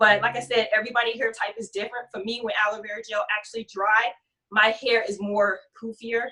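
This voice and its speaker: A woman speaks at a fairly high pitch in a bright, sharp tone. Her pace is fairly quick and her intonation monotone and flat. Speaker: natural hair guest presenter, model. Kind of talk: hair tutorial. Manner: fast.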